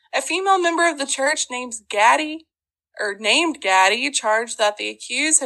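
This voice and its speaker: Against a quiet background, a woman with an Ozark accent uses a raised, projected voice, high in pitch and bright and sharp in tone, at a moderate pace. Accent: Ozark Southern. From Ozarks, Arkansas. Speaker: podcast host. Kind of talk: casual storytelling chat. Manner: animated, humorous.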